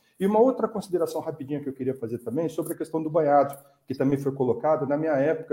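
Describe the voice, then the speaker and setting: Talking at a very fast pace, a man has a fairly high pitch and a dark, mellow tone. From Brazil, São José dos Campos (São Paulo state). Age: 50s. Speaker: politician, environmental activist. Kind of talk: online panel debate.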